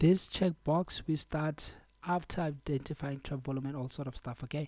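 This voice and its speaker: Quiet speech at a moderate pace comes through on a very clean recording with a silent background. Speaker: trading educator. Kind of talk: tutorial. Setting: home at midnight, keeping quiet. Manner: quiet, low volume.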